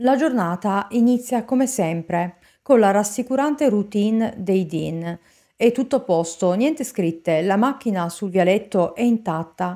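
Over a quiet background, a woman speaks fairly slowly at a fairly high pitch in a serious tone with a dark, mellow quality. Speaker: true crime narrator. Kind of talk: true-crime narration. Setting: studio, solo video narration. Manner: measured, serious storytelling. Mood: serious, suspenseful. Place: home room. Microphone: studio mic.

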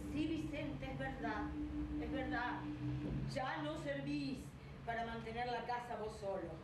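A woman at a fairly slow pace, with audible room echo and loud background noise. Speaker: actress in a staged reading. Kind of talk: dramatic script reading. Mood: resigned, earnest. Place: stage.

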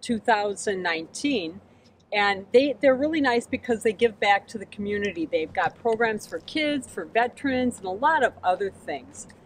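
Speaking at a moderate pace, a woman uses lively intonation and big swings in loudness. The sound is dry with no echo, over light background noise. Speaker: RV travel vlogger. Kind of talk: casual vlog chat. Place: street.

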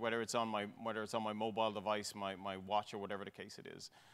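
A man with an Irish accent, a bright, sharp tone and a very fast pace. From Ireland. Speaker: tech executive; panelist. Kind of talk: panel discussion. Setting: stage with audience. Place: hall. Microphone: lapel.

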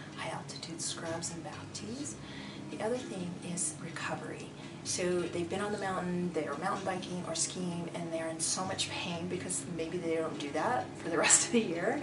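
Loud background noise fills the recording. Through it, a woman speaks at a moderate pace with ordinary pitch variation. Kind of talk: interview answer. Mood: warm, friendly. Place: hall.

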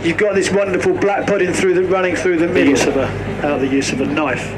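A man rattles off words at a very fast pace with ordinary pitch variation, loud background noise all around. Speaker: butcher giving demonstration. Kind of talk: live demonstration talk. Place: open country. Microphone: camera far.

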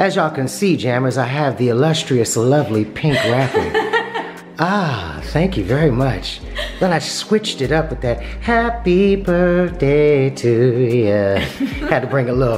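Faint music plays in the background as the speaker goes at a fairly slow pace. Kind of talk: casual vlog chat. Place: kitchen.

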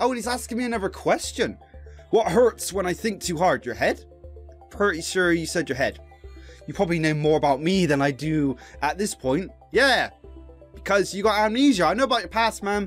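A man talking at a fairly quick pace, with faint music in the background. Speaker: gamer streamer. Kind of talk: let's play commentary.

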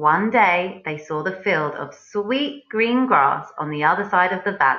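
With lively intonation, a voice reads aloud naturally.

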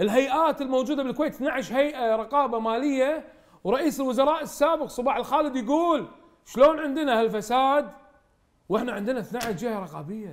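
At a moderate pace, a man talks in an extremely high pitch with ordinary pitch variation. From Kuwait. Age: 40s. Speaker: parliamentary candidate. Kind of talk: TV interview.

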